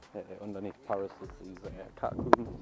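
A man speaks at a fairly slow pace in a dry sound with no echo, with noticeable background noise. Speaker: urban explorer vlogger. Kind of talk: casual vlog chat. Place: open country. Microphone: phone near.

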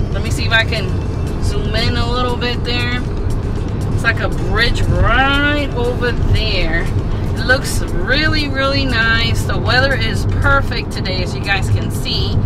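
A woman speaks at a fairly slow pace over clear background music. The sound is dry, with no echo. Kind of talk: casual vlog chat. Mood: excited, cheerful. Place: car. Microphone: phone near.

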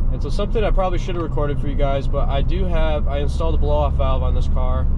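Loud background noise accompanies a man's voice. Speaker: vlogger. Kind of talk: casual vlog chat. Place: car. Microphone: camera far.

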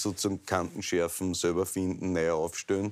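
Against a quiet background, the words come at a fairly quick pace. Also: man. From Styria, Austria. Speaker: talk show host. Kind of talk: interview. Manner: casual, joking. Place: office. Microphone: lapel.

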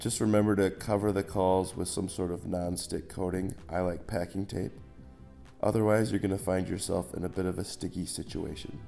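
Music sits in the background as a man with a very deep, low pitch speaks at a moderate pace with fairly even intonation. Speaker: hobby woodworker. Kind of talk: DIY tutorial narration. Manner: dry, joking.

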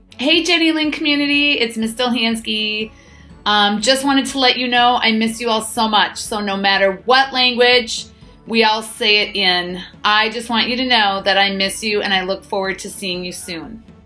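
A woman at a moderate pace with ordinary pitch variation, faint music in the background. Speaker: school teacher. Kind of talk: friendly greeting message. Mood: warm, affectionate. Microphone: phone near.

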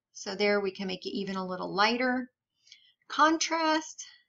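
Moderate pace, medium pitch, and a plain, everyday voice from a woman. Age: 40s. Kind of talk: tutorial. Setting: home office, screen-casting. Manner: casual, many filler ums.

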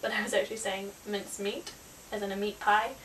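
A woman with a New Zealand accent, medium pitch, light background noise behind her. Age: young. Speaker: travel vlogger. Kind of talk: casual talk to camera. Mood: amused, lighthearted.

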